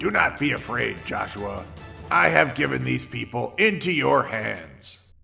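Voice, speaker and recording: Someone speaks in a put-on character voice. Clear music plays in the background. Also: man, fairly low pitch for a man, moderate pace. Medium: read story. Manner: boastful, self-satisfied.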